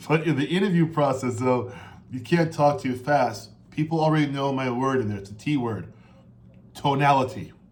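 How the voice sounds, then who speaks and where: Somewhat breathy, a man at medium pitch speaks with audible room echo. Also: ordinary pitch variation. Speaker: interview coach. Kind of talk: coaching advice monologue. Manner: fast.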